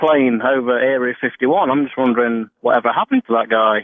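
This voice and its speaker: This is a man speaking. He has an English accent. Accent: obvious English. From England. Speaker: caller, truck driver. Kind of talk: radio call-in. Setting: phone call.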